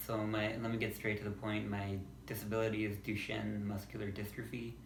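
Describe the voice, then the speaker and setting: A man speaks at a fairly quick pace and fairly low pitch in a flat monotone. His voice is somewhat breathy, and the room echo is audible. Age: 20s. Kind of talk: casual vlog monologue. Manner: halting, with pauses and repeats.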